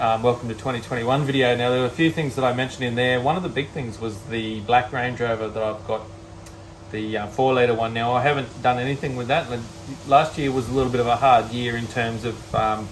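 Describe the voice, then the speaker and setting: Over noticeable background noise, a man with an Australian accent talks at a very fast pace, his pitch medium and his intonation fairly even. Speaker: car restoration YouTuber. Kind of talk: casual vlog talk to camera. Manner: halting, many fillers.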